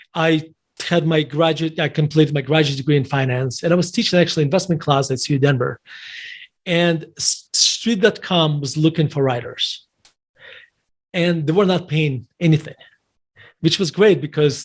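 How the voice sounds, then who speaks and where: Here a man with a non-native accent speaks at a moderate pace, his fairly high pitch held in fairly even intonation. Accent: noticeable foreign. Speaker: investment manager and author. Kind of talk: interview. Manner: halting, many restarts.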